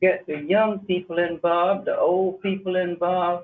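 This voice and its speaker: With a North Carolina accent, a man talks in a high pitch. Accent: North Carolina Southern. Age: 80s+. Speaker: community resident. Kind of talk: public comment at county meeting. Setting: county commissioners meeting.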